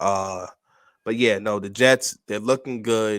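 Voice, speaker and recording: Recorded very cleanly with a silent background, a man with a New York accent speaks at a fairly low pitch with ordinary pitch variation. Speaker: sports podcast co-host. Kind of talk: casual chat. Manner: calm today.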